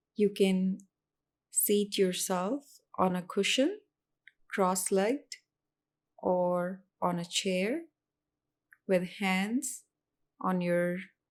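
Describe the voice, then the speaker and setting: On a very clean recording with a silent background, a woman at a medium pitch speaks very slowly with ordinary pitch variation and long, frequent pauses. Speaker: meditation guide. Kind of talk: guided meditation.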